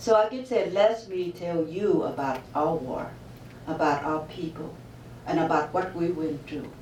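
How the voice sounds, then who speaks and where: A woman with a Vietnamese accent speaks at a fairly slow pace and a fairly low pitch, with lively intonation. Noticeable background noise and audible room echo surround her. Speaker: author. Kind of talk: interview. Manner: halting.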